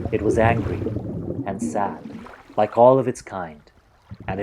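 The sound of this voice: Pitch varies in an ordinary way across this unforced reading voice.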